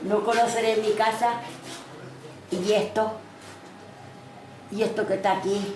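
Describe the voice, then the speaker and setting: A woman's fairly high, monotone voice at a fairly slow pace, with very even loudness, long, frequent pauses, audible room echo, and noticeable background noise. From Catalonia. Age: 60s. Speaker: displaced resident. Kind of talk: emotional testimony.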